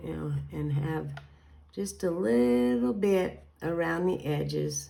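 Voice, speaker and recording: A woman speaks very slowly in a Kentucky accent. Audible room echo surrounds her voice. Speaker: card-making crafter. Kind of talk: crafting tutorial. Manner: casual, chatty.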